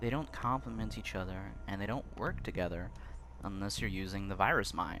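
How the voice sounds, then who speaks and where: Quiet and very deep, a man's voice carries vocal fry and a bright, sharp tone, moving at a moderate pace with very wide pitch swings. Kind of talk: game commentary opinion talk.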